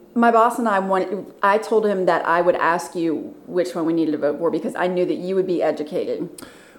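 Talking at a fairly quick pace with hardly any pauses, a woman keeps a medium pitch and ordinary pitch variation over noticeable background noise. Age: 40s. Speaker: former Marine. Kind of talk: casual chat.

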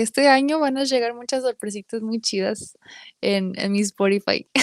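In a normal speaking voice, a woman talks at a moderate pace with lively intonation, recorded very cleanly against a silent background with a dry, close sound and no echo. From Mexican-American, raised bilingual. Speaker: singer-songwriter. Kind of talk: casual interview chat.

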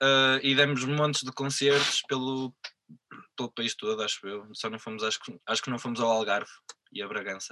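Heard in a dry, close sound with no echo, a man of medium pitch uses an unremarkable speaking voice with fairly even intonation. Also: moderate pace. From northern Portugal, Vila Real. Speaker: musician. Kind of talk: interview.

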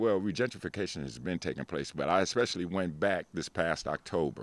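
Lively intonation marks this voice, which speaks with an American accent. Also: man. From New York (Harlem), Jamaican family. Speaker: guest. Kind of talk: casual chat.

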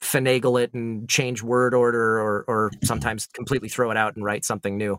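Dry, close sound with no echo, carrying a man's bright, sharp tone at medium pitch and a moderate pace. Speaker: voice actor. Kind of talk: casual chat.

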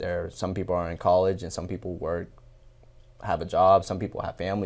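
A man at a very fast pace and fairly low pitch, on a very clean recording with a silent background. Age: 20s. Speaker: sales closer and business owner. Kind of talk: interview.

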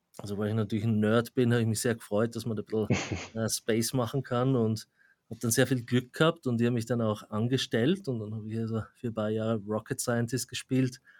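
At a fairly quick pace, a man speaks at medium pitch with fairly even intonation, the sound dry and close with no echo. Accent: Austrian. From Austria, Graz. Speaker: AI researcher and professor. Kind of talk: interview.

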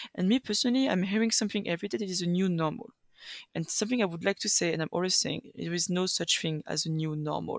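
Very fast and medium in pitch, a woman talks with ordinary pitch variation and a French accent. The recording is dry and close, with no echo. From France. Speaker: EU policy assistant. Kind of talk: panel discussion. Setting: video call from Brussels.

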